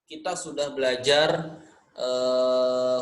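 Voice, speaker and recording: In a Sundanese accent, the speaker talks with monotone, flat intonation amid audible room echo. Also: man. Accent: Sundanese-accented Indonesian, nasal. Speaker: Quran recitation teacher. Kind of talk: online lesson. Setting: online class recording. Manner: casual, conversational.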